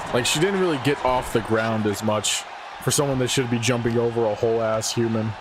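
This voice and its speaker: A man at a medium pitch and a fairly quick pace, very even in loudness, with audible room echo and noticeable background noise. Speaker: streamer commentating wrestling video game. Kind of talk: casual live-stream commentary. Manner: monotone.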